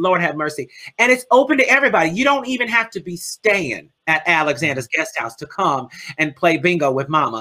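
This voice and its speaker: In a New Orleans accent, a woman with a bright, sharp tone talks in an animated way, her pitch swinging very widely. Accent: US Southern, New Orleans. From New Orleans, Louisiana. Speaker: drag performer and bingo host. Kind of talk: casual interview.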